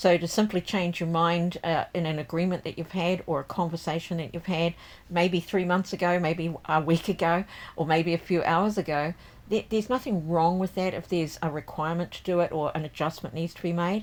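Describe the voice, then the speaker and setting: At a fairly quick pace, a woman talks in a normal speaking voice. Her fairly low pitch keeps to fairly even intonation. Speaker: tarot reader and deck creator. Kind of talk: tarot forecast reading. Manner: casual, with frequent fillers.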